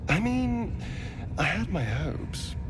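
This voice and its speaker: A man performs a cartoonish character voice. Loud background noise fills the recording. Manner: arch, teasing.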